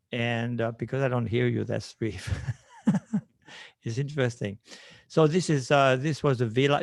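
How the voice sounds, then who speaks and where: With a Swiss French accent, this voice moves at a moderate pace with ordinary pitch variation and long, frequent pauses. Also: man. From French-speaking western Switzerland. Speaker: landscape designer. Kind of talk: presentation over video call. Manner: halting.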